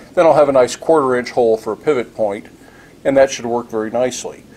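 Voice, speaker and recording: The speech moves at a very fast pace. Its pitch varies in an ordinary way. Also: man. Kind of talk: tutorial. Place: workshop.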